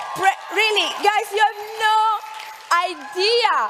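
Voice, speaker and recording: An Italian accent comes through over noticeable background noise. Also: woman. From Italy (Milan). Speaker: network marketing entrepreneur. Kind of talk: motivational speech. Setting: stage with audience. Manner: energetic.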